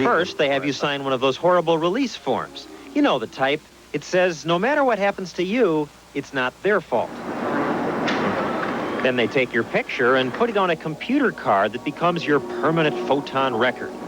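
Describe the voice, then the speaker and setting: Moderate-paced speech with lively intonation, against clearly audible background noise. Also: man, fairly high pitch for a man. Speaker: TV consumer correspondent. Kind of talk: TV news report narration.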